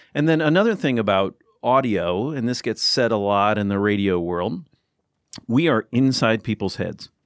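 In an American accent, an unremarkable speaking voice moves at a moderate pace with lively intonation. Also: man, medium pitch for a man. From US. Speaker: former public radio journalist, podcaster. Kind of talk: casual chat. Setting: studio.

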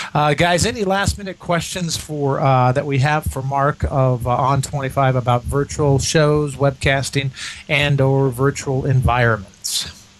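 The pitch varies in an ordinary way as the speaker talks fairly slowly amid noticeable background noise. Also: man, fairly high pitch for a man. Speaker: radio host. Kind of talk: radio dj patter. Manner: chatty, upbeat host banter that rambles with fillers.

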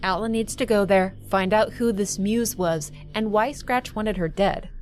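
With music in the background, a woman at medium pitch talks at a moderate pace in an intense tone. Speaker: video essayist narrating game lore. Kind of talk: dramatic narration of game story. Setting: online video voiceover. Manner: ominous, measured, gravely intense storytelling.

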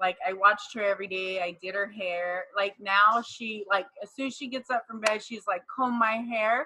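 Medium in pitch, a woman speaks at a moderate pace with hardly any pauses. Her intonation is fairly even, but her loudness swings widely. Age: 40s. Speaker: wife in polygamous family. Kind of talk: casual interview chat. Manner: self-described bulldog, assertive.

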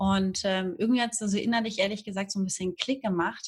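Recorded very cleanly against a silent background, a woman's somewhat breathy voice sits at a medium pitch with fairly even intonation. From northern Germany, Hamburg. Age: 30s. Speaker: Instagram marketing freelancer, emigrant. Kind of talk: casual interview.

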